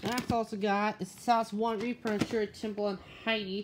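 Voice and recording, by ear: Delivered at a moderate pace, the speech shows little pitch movement.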